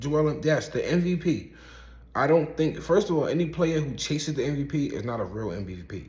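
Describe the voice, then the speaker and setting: Audible room echo surrounds a man with an American accent and vocal fry, speaking at a moderate pace in a fairly high pitch. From Brooklyn, New York (Coney Island). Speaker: rapper and basketball commentator. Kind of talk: casual opinion monologue. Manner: animated.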